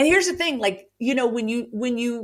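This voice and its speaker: A woman with a Southern US accent speaks at a fairly quick pace in an animated tone, with ordinary pitch variation. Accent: Southern US, says y'all. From rural Virginia (Roanoke). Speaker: author and grief storyteller. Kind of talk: podcast interview, personal testimony. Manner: animated, with frequent fillers and restarts.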